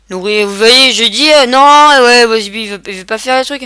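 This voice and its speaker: This woman has a bright, sharp tone and a fairly high pitch, with ordinary pitch variation. She keeps a moderate pace on a very clean recording with a silent background. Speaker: gaming video creator. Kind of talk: let's play commentary. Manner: animated.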